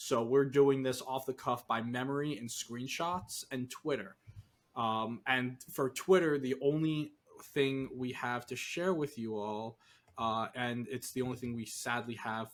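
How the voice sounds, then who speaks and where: A man of medium pitch speaks with a Northeastern US accent at a fairly slow pace and with fairly even intonation, on a very clean recording with a silent background. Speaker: podcast co-host, competitive Pokemon analyst. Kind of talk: casual chat.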